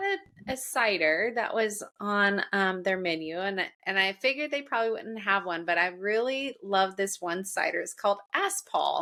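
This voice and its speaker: Speaking with a Southern US accent, a woman uses very wide pitch swings and an animated, bright, sharp tone at a fairly slow pace. The recording is very clean, with a silent background. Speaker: podcast host. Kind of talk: casual chat.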